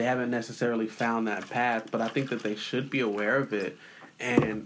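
There is noticeable background noise behind a man speaking at a moderate pace. His voice is medium-pitched with fairly even intonation. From San Diego, California. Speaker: hip hop artist and community leader. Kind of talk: interview conversation.

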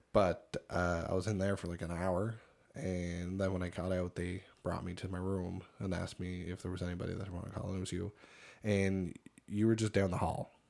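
Flat and monotone, a man speaks at a fairly quick pace. His pitch is very deep and low. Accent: Cape Breton. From Cape Breton, Nova Scotia. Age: 30s. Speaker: podcast co-host. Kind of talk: casual chat.

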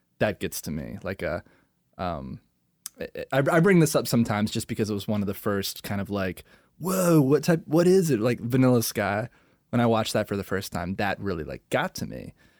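A man's medium-pitched voice with an American accent, vocal fry and very wide pitch swings, at a fairly quick pace in a dry, close, very clean recording with a silent background. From Maryland. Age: 30s. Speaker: podcast co-host. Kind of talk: casual chat.

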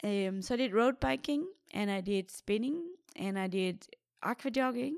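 On a very clean recording with a silent background, a woman with a Danish accent speaks at a medium pitch and a moderate pace with ordinary pitch variation. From Denmark. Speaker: professional triathlete. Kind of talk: casual interview.

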